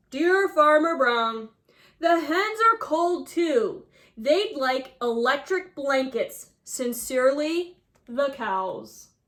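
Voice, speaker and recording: A put-on character voice speaks at a high pitch and a very slow pace. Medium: read story.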